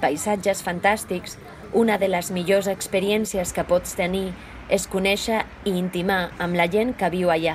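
A woman with a Spanish accent at medium pitch, fairly slow and monotone with flat intonation, over noticeable background noise. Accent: Spanish (Castilian) accent in Catalan. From Spain, La Rioja (Logroño). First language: Spanish (speaking Catalan). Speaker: Catalan language learner. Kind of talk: reading aloud.

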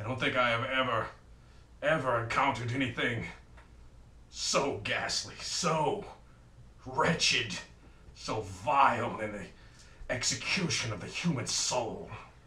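Putting on a cartoonish character voice, a man speaks at a medium pitch and a fairly slow pace with long, frequent pauses and slight echo. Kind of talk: comic melodramatic overacting. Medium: puppet show. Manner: pompous, theatrical, exclamatory.

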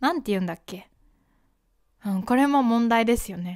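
A woman speaks at a moderate pace with a fairly high pitch. The background is quiet. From Japan. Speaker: podcast host and Japanese teacher; Japanese podcast host. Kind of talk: casual educational monologue. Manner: conversational, with fillers and self-corrections. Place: home room. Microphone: studio mic.

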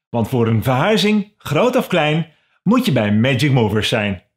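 Against a quiet background, a man speaks in an upbeat tone. His pitch swings very widely at a moderate pace. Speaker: voice actor. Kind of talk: company thank-you video presentation. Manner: friendly, upbeat. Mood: friendly, upbeat.

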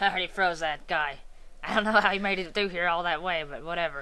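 Delivered in a put-on character voice at a middle pitch, the speech races along at a very fast pace on a very clean recording with a silent background. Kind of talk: comic fan dub. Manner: taunting, cocky.

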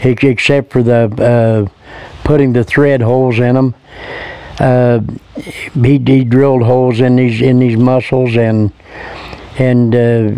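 Relaxed in tone, a man with a Midwestern US accent speaks at a very slow pace with long, frequent pauses, his medium pitch monotone and flat, his loudness very even, and the sound dry with no echo. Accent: rural Midwestern American. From Indiana, USA. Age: 70s. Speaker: local man recalling the past. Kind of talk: interview answer. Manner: relaxed, folksy, hesitant. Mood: relaxed, fond reminiscing. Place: garden.

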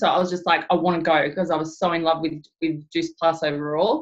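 A woman with an Australian accent speaks at a fairly quick pace in a fairly low voice, her intonation fairly even against a quiet background. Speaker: network marketing director. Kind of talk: team training webinar. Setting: video call. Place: home room. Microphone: webcam.

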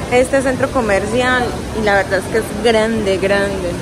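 Dry, echo-free speech from a woman, with noticeable noise behind it. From Medellín, Colombia. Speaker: travel vlogger. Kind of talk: casual talk to camera. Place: hall. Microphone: phone near.

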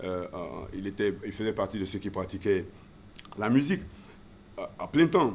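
Fairly low in pitch, a man speaks at a fairly slow pace with ordinary pitch variation and long, frequent pauses over light background noise. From Côte d'Ivoire, Abidjan (Adjamé); Côte d'Ivoire. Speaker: former radio and TV presenter; former radio, TV presenter. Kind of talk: interview. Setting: studio. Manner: halting, many repetitions. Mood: relaxed, reminiscing. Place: studio. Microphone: studio mic.

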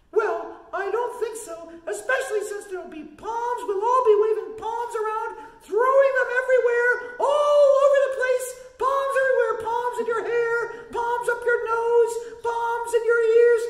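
A cartoonish character voice speaks at an extremely high pitch. The pace is moderate and there is a slight echo. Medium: puppet.

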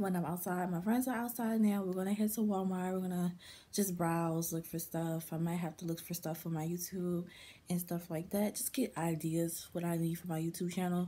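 A woman talks in a somewhat breathy voice with a dark, mellow tone and fairly even intonation. Light background noise is present. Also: fairly low pitch for a woman, moderate pace. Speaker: vlogger. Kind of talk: casual vlog chat. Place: home room. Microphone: phone near.

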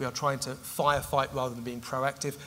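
A man talking at a fairly quick pace over light background noise. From United Kingdom. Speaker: migration policy expert; expert guest at a public lecture. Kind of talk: public Q&A. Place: stage.

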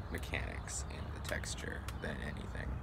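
Loud noise fills the background. The speaker talks at a fairly slow pace. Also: man. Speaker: pipe tobacco reviewer. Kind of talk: casual review talk. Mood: relaxed, reflective. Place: street. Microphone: phone near.

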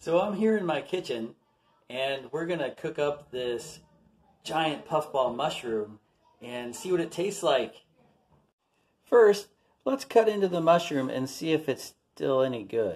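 Speaking at a fairly slow pace with long, frequent pauses, a man is heard over a quiet background. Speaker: park nature vlogger. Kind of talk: casual vlog chat. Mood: enthusiastic, curious. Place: kitchen. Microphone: phone near.

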